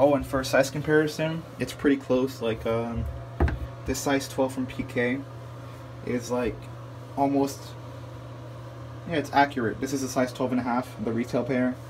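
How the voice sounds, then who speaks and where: Speech comes at a moderate pace in a flat, monotone delivery broken by long, frequent pauses. Audible room echo and noticeable background noise surround it. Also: man, medium pitch for a man. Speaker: sneaker reviewer. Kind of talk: casual product review. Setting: in a bathroom. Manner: murmuring a little; casual, filler-heavy.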